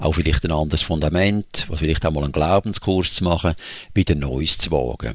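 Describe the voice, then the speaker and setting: This speaker has vocal fry and moves at a fairly quick pace. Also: man, very deep, low pitch for a man, ordinary pitch variation. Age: 60s. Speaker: church coach and deacon. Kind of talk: interview.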